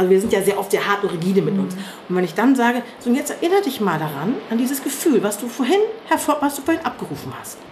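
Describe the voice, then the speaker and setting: Over noticeable background noise, a woman talks at a very fast pace with very wide swings in pitch. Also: fairly high pitch for a woman. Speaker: yoga teacher. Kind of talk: interview.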